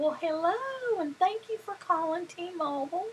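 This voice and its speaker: A woman performs a put-on character voice in a Southern accent. It sits extremely high in pitch and moves at a moderate pace. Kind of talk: polite, scripted call-center greeting.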